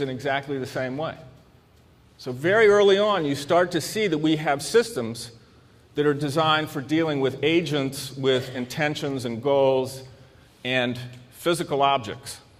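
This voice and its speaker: Speaking with an American accent, a man has a fairly high pitch. He takes long, frequent pauses, and room echo is audible. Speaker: psychiatrist and convention speaker. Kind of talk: lecture. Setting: stage with audience. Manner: halting, repeats words.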